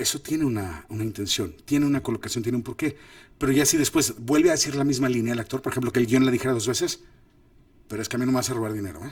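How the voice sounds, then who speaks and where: This man talks at a very fast pace in a medium pitch. His voice is somewhat breathy, with ordinary pitch variation. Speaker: film director and acting coach. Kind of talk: lecture. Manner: animated.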